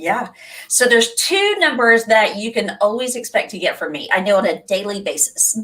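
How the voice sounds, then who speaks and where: A woman with a Texan accent talks at a moderate pace in a fairly high voice with lively intonation. Noticeable background noise runs underneath. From Texas. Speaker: nurse and webinar host. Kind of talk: casual interview chat.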